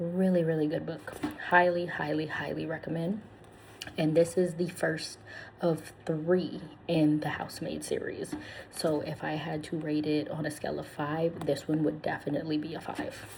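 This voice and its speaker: A soft-spoken woman talks at a moderate pace with a very deep, low pitch and fairly even intonation. Noticeable background noise is present. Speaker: ASMR channel host and book reviewer. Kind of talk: casual talk to camera, book review.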